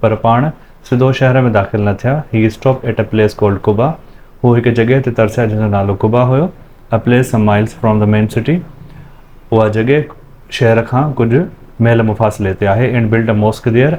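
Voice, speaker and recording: A man's medium-pitched voice, dark and mellow, with a calm tone, fairly even intonation, very even loudness, a moderate pace and long, frequent pauses. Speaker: teacher. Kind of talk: classroom lesson reading with translation.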